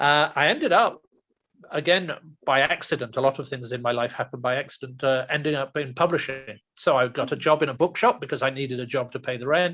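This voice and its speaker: At a fairly quick pace, a man speaks in a bright, sharp tone at a fairly high pitch with ordinary pitch variation. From England. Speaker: food writer and TV judge. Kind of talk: interview conversation. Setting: podcast interview.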